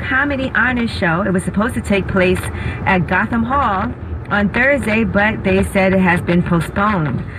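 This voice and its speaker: A woman at a moderate pace with ordinary pitch variation, noticeable background noise behind her. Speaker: radio show host. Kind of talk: radio news commentary. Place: studio.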